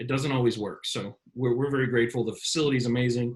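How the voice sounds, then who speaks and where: A very fast, monotone, flat delivery from a man with an American accent, somewhat breathy and medium in pitch. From Florida, US. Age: 40s. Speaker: beach volleyball event organizer. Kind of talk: casual interview chat.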